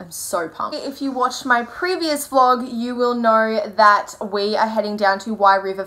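A woman at a moderate pace, with lively intonation, big swings in loudness and hardly any pauses. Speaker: vlogger. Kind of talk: casual vlog chat. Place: home room. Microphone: phone near.

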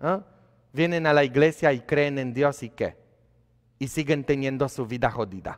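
Over a quiet background, a man with a fairly high pitch speaks in a Polish accent. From Poland. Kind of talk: sermon. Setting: church. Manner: animated. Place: church.

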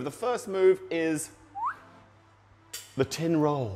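A man speaks with faint music in the background. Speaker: bartender instructor. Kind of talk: tutorial. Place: bar.

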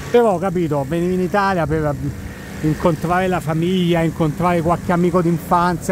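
Noticeable background noise sits under a man's high-pitched voice, recorded dry with no echo. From Italy. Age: 40s. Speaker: travel content creator and tour operator; travel vlogger. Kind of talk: casual walking monologue vlog. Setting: outdoors, walking at night in Times Square. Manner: conversational, rambling. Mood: relaxed, reflective. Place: street. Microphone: phone near.

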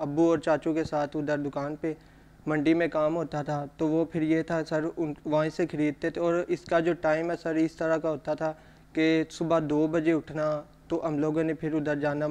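A man's fairly high voice, monotone and flat in intonation, at a moderate pace. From Kasur district, Punjab, Pakistan; Punjab, Pakistan. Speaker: cameraman; talk show guest. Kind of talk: interview. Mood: calm, earnest, slightly subdued. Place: studio.

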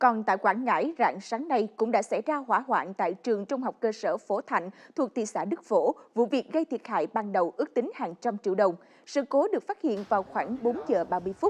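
Against a quiet background, a woman talks at a moderate pace with hardly any pauses. Her fairly high voice has lively intonation. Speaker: news anchor. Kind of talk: news reading. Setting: studio. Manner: formal. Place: studio. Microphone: lapel.

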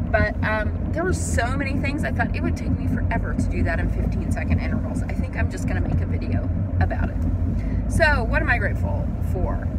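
Over loud background noise, a woman speaks at a fairly quick pace, the sound dry with no echo. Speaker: vlogger. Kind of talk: casual vlog monologue. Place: car. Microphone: phone near.

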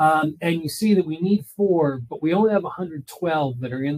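An ordinary speaking voice from a man with an American accent, fairly high in pitch, with ordinary pitch variation and a moderate pace. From Philadelphia, US. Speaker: economic consultant. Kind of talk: webinar presentation.

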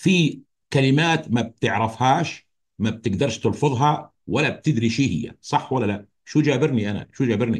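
Against a quiet background, a man speaks at a medium pitch with ordinary pitch variation. His delivery is fairly slow and somewhat breathy. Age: 50s. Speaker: health educator. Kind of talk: educational talk. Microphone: video call.

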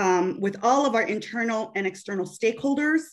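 A woman with a Chicago accent talks at a fairly quick pace in a fairly high pitch. The background is quiet. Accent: Chicago American English. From US Midwest. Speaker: bank business consultant. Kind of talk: webinar panel discussion. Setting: video call. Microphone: video call.

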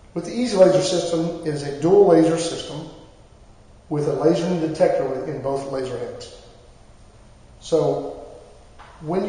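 A high-pitched man talks at a moderate pace, leaving long, frequent pauses. His loudness swings a lot, and the room echoes strongly. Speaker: product demonstrator. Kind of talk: tutorial. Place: meeting room.

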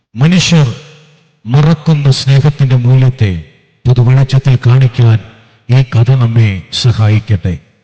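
Clear echo surrounds a man speaking at a fairly slow pace in a medium pitch with ordinary pitch variation. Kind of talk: formal sermon-like stage narration. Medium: stage play. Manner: measured, declamatory.

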